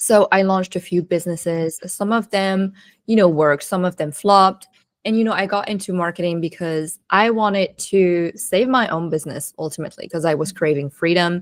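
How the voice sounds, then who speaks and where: In a very clean recording with a silent background, a woman with a non-native accent talks at a medium pitch with ordinary pitch variation. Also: fairly quick pace. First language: not English. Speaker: marketing strategist and coach. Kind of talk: podcast interview.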